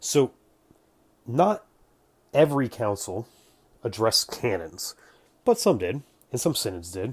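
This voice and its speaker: Mumbling at a fairly slow pace with long, frequent pauses, a man at medium pitch sounds somewhat breathy, his pitch swinging very widely on a very clean recording with a silent background. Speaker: religious history commentator. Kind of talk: casual explainer talk to camera.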